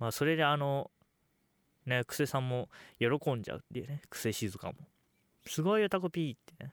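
In a very clean recording with a silent background and a dry, close sound with no echo, a man of medium pitch talks very fast with lively intonation. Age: under 20. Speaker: solo podcast host. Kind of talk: casual monologue.

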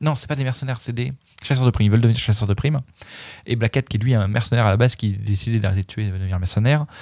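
A man's medium-pitched, dark, mellow voice at a very fast pace, with ordinary pitch variation and a dry, close sound with no echo. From France, Dijon. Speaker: podcast host and vegan cook. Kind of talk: casual chat. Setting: studio.

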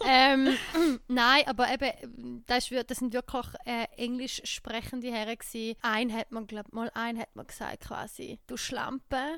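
A woman speaks in an eastern Swiss accent at a high pitch and a fairly slow pace, with hardly any pauses. Her intonation stays fairly even while her loudness swings widely. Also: very clean recording, silent background. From eastern Switzerland. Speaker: podcast host. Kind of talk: casual chat.

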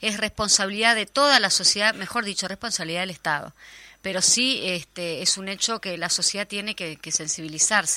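Bright and sharp in tone, a woman with a Uruguayan accent talks at medium pitch with ordinary pitch variation. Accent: Rioplatense Spanish (Uruguayan). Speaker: radio host. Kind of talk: news reading.

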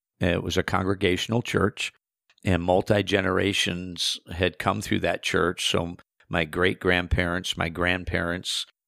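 Recorded very cleanly with a silent background and a dry, close sound without echo, a man with an Upper Midwest accent speaks at a very deep, low pitch in a bright, sharp tone. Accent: Upper Midwest American. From US Midwest, South Central Minnesota. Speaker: itinerant preacher. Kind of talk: testimony.

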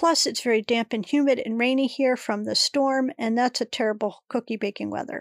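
A woman with a high pitch speaks at a moderate pace in a very clean recording with a silent background and a dry, close sound with no echo. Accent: American. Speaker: podcast host. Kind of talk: casual monologue.

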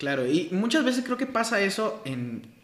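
A man talks at a fairly slow pace with lively intonation, and audible room echo surrounds him. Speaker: podcast host, church ministry. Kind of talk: interview.

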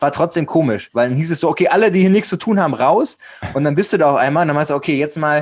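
A man talks very fast at a fairly high pitch with ordinary pitch variation and very even loudness. The recording is very clean, with a silent background. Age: 20s. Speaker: male model and podcaster. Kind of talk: interview conversation. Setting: recorded guest appearance on another podcast.

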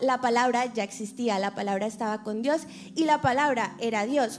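At a moderate pace, a woman speaks. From Colombia. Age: 20s. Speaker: actress and reporter sharing testimony. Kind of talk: testimony.

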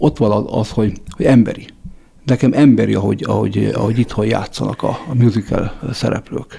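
A man talks at a fairly quick pace with fairly even intonation and a fairly low pitch. Noticeable background noise sits behind him. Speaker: radio host. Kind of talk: interview.

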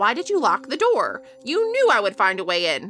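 Using a put-on character voice with a high pitch, a woman speaks at a moderate pace over clear music in the background. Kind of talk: creepy taunting. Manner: mocking, menacing.

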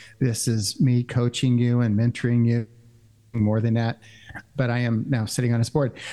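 A man with an American accent speaks at a moderate pace in a dark, mellow tone. His intonation is monotone and flat, and his loudness stays very even. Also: medium pitch for a man. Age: 60s. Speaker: church network finance director. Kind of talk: casual chat.

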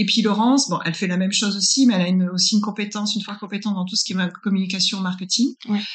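A woman's somewhat breathy voice, medium in pitch, with fairly even intonation. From France. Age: 40s. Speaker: business consultant. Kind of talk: interview.

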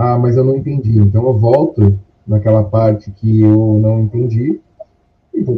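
Somewhat breathy, a man's voice keeps a moderate pace. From Brazil, São Paulo city. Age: 30s. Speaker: course student sharing experience. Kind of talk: interview.

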